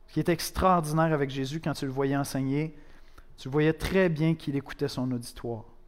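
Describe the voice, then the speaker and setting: At a moderate pace, the speaker uses a normal speaking voice with fairly even intonation. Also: man, fairly high pitch for a man. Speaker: pastor. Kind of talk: sermon, preaching to a congregation, with a prayer. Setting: church. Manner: conversational, direct, addressing the listener as "tu"; earnest, with dry humor and rhetorical questions.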